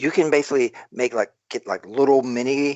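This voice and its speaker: A fairly quick man's voice with an American accent, fairly high in pitch. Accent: Southern US, comes out when excited. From South Carolina. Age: 40s. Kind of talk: casual chat.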